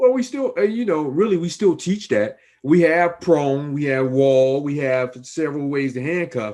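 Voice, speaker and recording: Using an unremarkable speaking voice, a man with an American accent speaks at a fairly high pitch with lively intonation. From Chicago. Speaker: private investigator and interview host. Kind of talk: interview.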